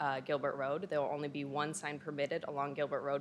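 A woman talks at a fairly quick pace. Her pitch is very deep and low, with light background noise behind her. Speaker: presenter. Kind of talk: formal presentation. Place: hall. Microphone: podium.

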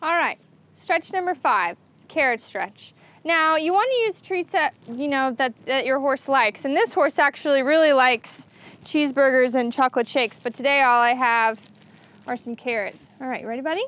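A woman's high-pitched voice at a moderate pace, in a dry sound with no echo. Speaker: show co-host. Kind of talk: comic tutorial. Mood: playful, joking. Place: street. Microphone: lapel.

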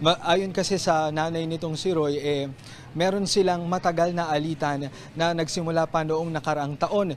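Over light background noise, a man talks at a moderate pace with monotone, flat intonation. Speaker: TV field reporter. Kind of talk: live news report. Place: street. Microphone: handheld.

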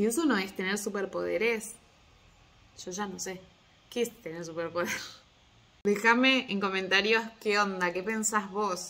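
A woman with a Rioplatense accent, medium pitch, ordinary pitch variation, an animated, bright, sharp tone, a fairly slow pace and long, frequent pauses. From Argentina. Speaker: small business owner and mother vlogger. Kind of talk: casual vlog monologue. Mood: warm, smiling, animated. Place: home room. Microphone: phone near.

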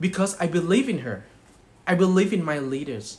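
A man with a Thai accent speaks at a moderate pace and fairly high pitch. His pitch swings very widely. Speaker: network marketing distributor. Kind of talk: motivational speech. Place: home room. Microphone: phone near.

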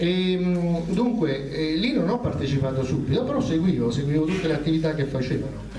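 Against noticeable background noise, a man talks in a fairly high pitch with hardly any pauses. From Naples. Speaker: candidate. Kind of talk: public speech. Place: hall.

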